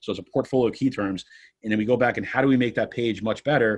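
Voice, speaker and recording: A man's medium-pitched voice with fairly even intonation, quiet background. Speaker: personal injury lawyer. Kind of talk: podcast interview. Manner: fast.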